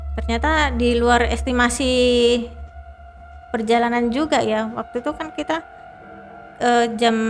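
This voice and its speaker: Over music in the background, a woman speaks fairly slowly at a high pitch with ordinary pitch variation and long, frequent pauses. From Indonesia, East Java. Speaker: mountain hiker. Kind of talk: interview answer.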